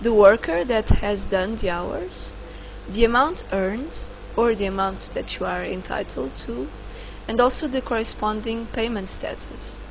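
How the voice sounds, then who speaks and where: A woman speaks fairly slowly, with audible room echo and noticeable background noise. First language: not English. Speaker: online course instructor. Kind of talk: tutorial. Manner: halting, many fillers.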